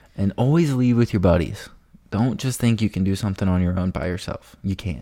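A man speaks at a fairly quick pace in a fairly low voice. His tone is dark and mellow. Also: ordinary pitch variation. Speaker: podcast co-host. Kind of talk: casual chat. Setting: recorded at home while watching a game.

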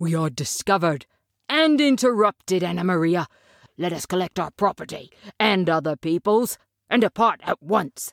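Growling in a put-on character voice at a middle pitch, the speaker moves at a moderate pace. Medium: audio drama. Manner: pompous, fussy.

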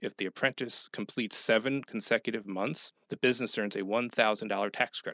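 A man with an American accent talks in an ordinary speaking voice at a fairly low pitch. His pace is fairly quick and his intonation fairly even. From upstate New York. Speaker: business consultant. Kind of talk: radio interview.

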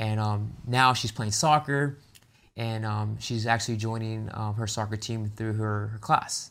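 A man with an American accent, a normal speaking voice, medium pitch, fairly slow pace and fairly even intonation, on a very clean recording with a silent background. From San Diego, California. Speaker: nonprofit co-founder. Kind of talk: interview. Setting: studio.

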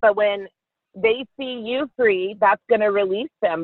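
At a fairly slow pace, a woman with an American accent speaks at a medium pitch with ordinary pitch variation. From Texas, Carrollton. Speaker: worship leader. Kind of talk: casual chat.

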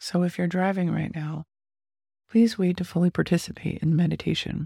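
On a very clean, silent-background recording that is dry and close with no echo, a woman speaks at a fairly quick pace in a fairly low, somewhat breathy voice with a dark, mellow tone. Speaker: podcast host and meditation guide. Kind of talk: guided meditation.

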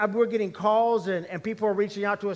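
This man speaks at a high pitch. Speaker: pastor. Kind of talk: sermon. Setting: church.

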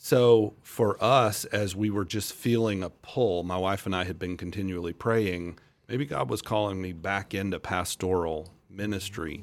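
In an American accent, an unremarkable speaking voice moves at a fairly slow pace with ordinary pitch variation and hardly any pauses, recorded very cleanly against a silent background. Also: man, fairly low pitch for a man. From US South, Central Florida. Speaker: pastor. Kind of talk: interview conversation.

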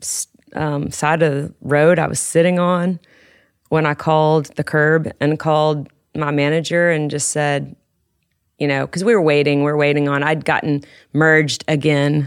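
A woman in a Southern US accent speaks at a moderate pace with a very deep, low pitch and monotone, flat intonation, in a very clean recording with a silent background. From West Tennessee. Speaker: country songwriter. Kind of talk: casual chat.

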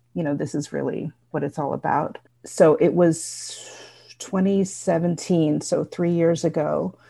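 Her fairly low voice has a dark, mellow tone and vocal fry, and this woman keeps her intonation fairly even. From New Jersey, Bergen County. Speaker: writer. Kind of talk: casual chat.

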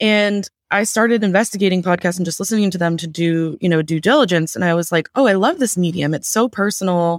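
Someone with an American accent talks at a very fast pace. There are hardly any pauses. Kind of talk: casual chat.

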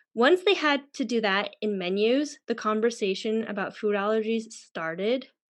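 A woman with a Canadian accent and a plain, everyday voice speaks fairly slowly at a fairly high pitch, with ordinary pitch variation and a quiet background. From Canada. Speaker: online magazine founder and podcast host. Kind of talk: casual interview.

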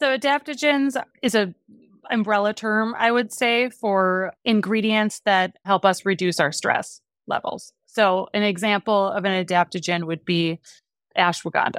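A woman with an American accent speaks in a plain, everyday voice at a medium pitch and a fairly slow pace, with ordinary pitch variation. The recording is very clean with a silent background, and the sound is dry and close with no echo. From US Midwest, Wisconsin. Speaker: beverage company founder. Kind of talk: interview.

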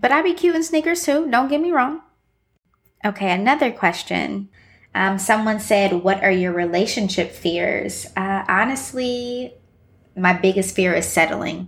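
A somewhat breathy woman with an American accent, medium pitch, very wide pitch swings and a fairly slow pace, on a very clean recording with a silent background. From Ohio, Midwest US. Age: 20s. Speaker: podcast host. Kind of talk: casual monologue. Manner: animated.

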